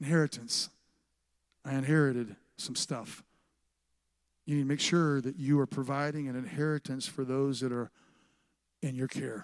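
A man speaks at a moderate pace in a medium pitch, his intonation fairly even, with long, frequent pauses. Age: 50s. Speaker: pastor. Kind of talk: sermon.

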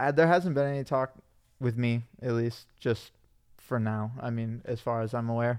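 A man with an American accent talks at a moderate pace in a medium-pitched voice, his intonation fairly even. It is a normal speaking voice, captured in a very clean recording with a silent background. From Michigan, US Midwest. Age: 20s. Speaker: pro scooter rider. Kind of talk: casual chat. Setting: studio.

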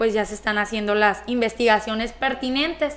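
A woman speaks in a bright, sharp tone with ordinary pitch variation. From Mexico, southern Sinaloa (Escuinapa). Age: 20s. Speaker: local councillor. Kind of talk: radio talk show interview. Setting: radio studio, also streamed on Facebook Live.

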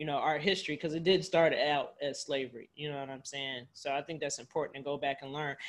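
Recorded very cleanly against a silent background, a woman speaks at a very deep, low pitch. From Cleveland, Ohio, US. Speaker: podcast host, real estate wholesaler. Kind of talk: casual interview chat.

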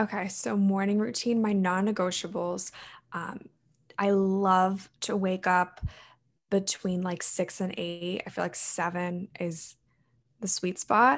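A woman with a Mid-Atlantic American accent, medium-pitched, speaking at a very slow pace against a quiet background. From US, Maryland. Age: 20s. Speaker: college student and health coach. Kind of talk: interview.

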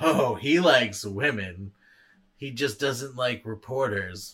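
Using a put-on character voice, a man of medium pitch talks at a fairly slow pace. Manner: suggestive, knowing.

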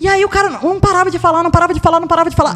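A woman with an extremely high pitch, speaking at a very fast pace over noticeable background noise. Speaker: podcast guest. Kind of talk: casual chat.

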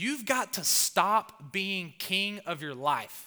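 A man's bright, sharp tone with very wide pitch swings, in a very clean recording with a silent background. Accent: Southern US. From US South. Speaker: pastor. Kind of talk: sermon. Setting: church.

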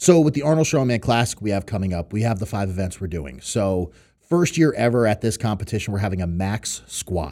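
A man with an American accent, fairly low pitch, very wide pitch swings, a fairly quick pace and a dark, mellow tone. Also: very clean recording, silent background. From New York and Connecticut, US Northeast. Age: 30s. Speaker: professional strongman. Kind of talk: casual podcast interview.

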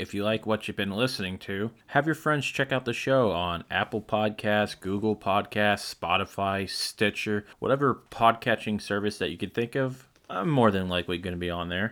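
A man with a plain, everyday voice, fairly low in pitch, speaks at a moderate pace with ordinary pitch variation and hardly any pauses on a very clean recording with a silent background. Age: 20s. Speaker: video game music podcast host. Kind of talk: casual music show presenting.

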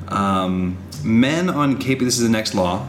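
Lively intonation from a man at medium pitch, over noticeable background noise. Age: 30s. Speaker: podcast co-host, husband. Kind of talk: casual chat. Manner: loud.

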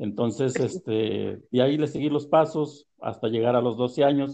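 A man's dark, mellow tone at a very slow pace with ordinary pitch variation. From Puebla, Mexico (Tehuacán area). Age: 60s. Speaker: farmer, maguey grower. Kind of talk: storytelling interview. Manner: halting.

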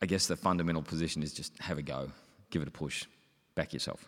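A man with an Australian accent speaks at a very deep, low pitch with vocal fry. His intonation is fairly even, on a very clean recording with a silent background. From Melbourne, Australia. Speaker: company executive director. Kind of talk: panel discussion. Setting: stage with audience.

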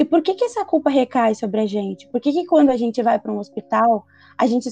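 At a fairly quick pace, a woman speaks with a high pitch and a dark, mellow tone. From Brazil, urban periphery. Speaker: podcast host. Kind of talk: casual interview chat.

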